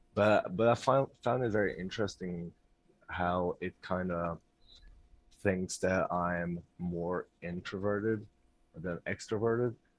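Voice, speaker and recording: At a very slow pace full of long, frequent pauses, a man with a very deep, low pitch speaks with a non-native accent and fairly even intonation. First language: not English. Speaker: community member. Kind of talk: casual chat.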